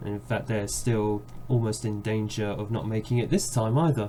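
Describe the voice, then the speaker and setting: A somewhat breathy man with a London accent, fairly low in pitch, his tone dark and mellow. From London, England. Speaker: video game streamer. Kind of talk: gameplay commentary; video outro. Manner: fast; casual, with filler uhs.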